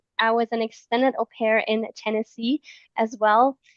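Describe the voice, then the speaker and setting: A woman's fairly high voice with a German accent, fairly slow, with ordinary pitch variation and a dry, close sound with no echo. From Germany. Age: 20s. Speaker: event host, former au pair. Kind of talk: live stream chat.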